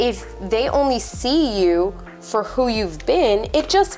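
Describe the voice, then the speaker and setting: A woman's voice over music in the background. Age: 30s. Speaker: life coach. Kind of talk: motivational talk to camera.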